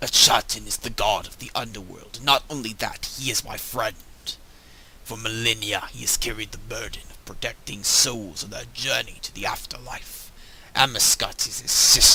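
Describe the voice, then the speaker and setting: A man uses a put-on character voice, raspy and at a medium pitch, moving at a moderate pace with big swings in loudness. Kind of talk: dramatic fantasy game dialogue reading. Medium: solo performance. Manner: formal, grave, archaic.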